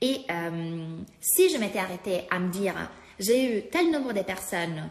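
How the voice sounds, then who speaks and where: Over noticeable background noise, a woman with a non-native accent and a medium pitch speaks at a fairly slow pace with lively intonation. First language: not French (speaking French). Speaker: life coach. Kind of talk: live-stream talk to followers. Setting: live stream. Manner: halting, many fillers.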